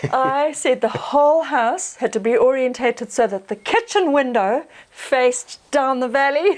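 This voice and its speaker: At a moderate pace with hardly any pauses, a woman with a New Zealand accent speaks at a high pitch with ordinary pitch variation. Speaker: off-grid homesteader. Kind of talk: casual interview.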